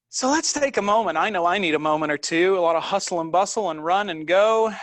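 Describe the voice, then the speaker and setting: Over noticeable background noise, a man talks very fast. His pitch is high, with ordinary pitch variation. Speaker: yoga instructor. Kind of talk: live online class setup, casual; guided yoga instruction.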